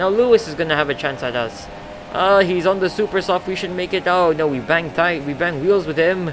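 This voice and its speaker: Noticeable background noise sits under a fairly quick delivery with ordinary pitch variation. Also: man. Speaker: gaming YouTuber. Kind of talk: gameplay commentary. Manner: stuttering; animated.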